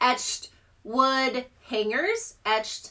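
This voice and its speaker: Against a quiet background, a woman uses a raised, projected voice with a bright, sharp tone. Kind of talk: casual live stream product chat. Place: home room. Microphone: phone near.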